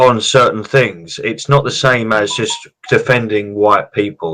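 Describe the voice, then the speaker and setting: Loud and bright, sharp in tone, a man speaks fairly slowly with a British accent and ordinary pitch variation. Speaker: political commentator. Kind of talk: political discussion stream.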